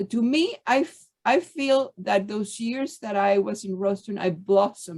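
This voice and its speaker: This voice speaks at a fairly slow pace with ordinary pitch variation and a Spanish accent. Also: woman. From Cuba (Havana). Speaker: former student of the school. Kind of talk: panel discussion.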